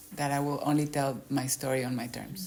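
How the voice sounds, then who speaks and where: A woman with a Spanish accent and a very deep, low pitch, at a moderate pace. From Mexico. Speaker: author. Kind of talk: interview.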